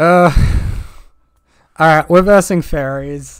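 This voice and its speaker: A man is talking. His voice sits high in pitch. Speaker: gaming content creator. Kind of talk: gameplay commentary. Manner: animated.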